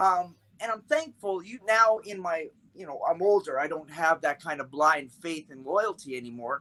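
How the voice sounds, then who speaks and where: Dry and close with no echo, a man's bright, sharp, high-pitched voice moves at a moderate pace with lively intonation. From Canada. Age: 50s. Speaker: martial arts instructor. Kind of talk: casual podcast interview.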